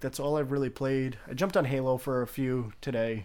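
Moving at a fairly quick pace, a man uses a plain, everyday voice at medium pitch. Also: very clean recording, silent background. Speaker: podcast host. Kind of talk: casual chat.

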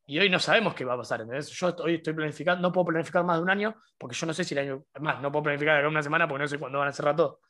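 Speaking with a Rioplatense accent at a very fast pace, the voice runs on with hardly any pauses and ordinary pitch variation. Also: man, fairly high pitch for a man. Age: 20s. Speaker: podcast co-host, university student. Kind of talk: casual chat.

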